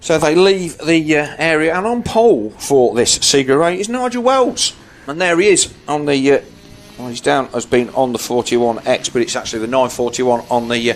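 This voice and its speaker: A man with a British accent and very wide pitch swings, music in the background. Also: fairly high pitch for a man, moderate pace. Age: 60s. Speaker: motorsport commentator. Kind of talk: live commentary.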